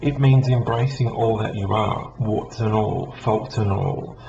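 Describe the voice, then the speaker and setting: With an Australian accent, a man of medium pitch speaks at a moderate pace with fairly even intonation, amid noticeable background noise and audible room echo. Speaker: psychic medium. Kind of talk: casual vlog talk. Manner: hesitant, many ums.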